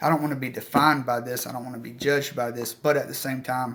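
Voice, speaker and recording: A man with a strong Southern US accent and fairly even intonation. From US South. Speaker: outdoor/hunting channel host. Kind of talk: live stream Q&A chat. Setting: live stream. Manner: casual, filler-heavy.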